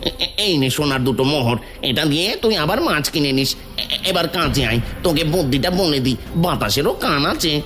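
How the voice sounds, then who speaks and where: A cartoonish character voice at low-to-middle pitch and moderate pace, with clear background noise. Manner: blustering, rough, uses rude "tui" address.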